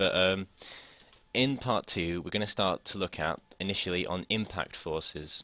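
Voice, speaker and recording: The pace is moderate and the pitch variation ordinary. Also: man, very deep, low pitch for a man. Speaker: physics tutor. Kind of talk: tutorial. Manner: hesitant, many fillers.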